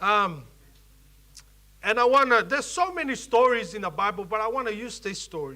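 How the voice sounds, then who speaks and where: A man with a Samoan accent speaks in a raised, projected voice, high-pitched and bright and sharp in tone, with very wide pitch swings. His pace is fairly quick, broken by long, frequent pauses. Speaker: preacher and youth leader. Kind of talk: sermon. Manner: halting.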